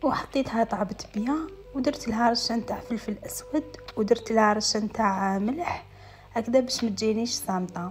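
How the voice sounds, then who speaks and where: Over music in the background, a woman with an Algerian accent speaks at a moderate pace with ordinary pitch variation. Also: fairly high pitch for a woman. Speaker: lifestyle vlogger. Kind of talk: voice-over vlog narration.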